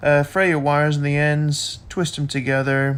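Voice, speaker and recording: A man talks at a fairly slow pace. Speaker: car modding vlogger. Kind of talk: tutorial. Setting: voiceover. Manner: monotone; casual, hesitant with fillers.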